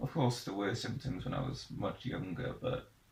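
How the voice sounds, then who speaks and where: A man speaks with a South Welsh accent. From Wales, Pembrokeshire (Haverfordwest). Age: 20s. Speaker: young person sharing life story. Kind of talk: personal testimony interview. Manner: halting, with hesitations and restarts.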